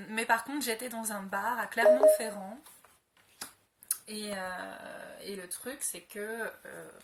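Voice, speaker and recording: There is noticeable background noise behind this woman. She speaks at a very slow pace with a fairly high pitch. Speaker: tarot card reader. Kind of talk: astrology reading video. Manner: hesitant, many fillers.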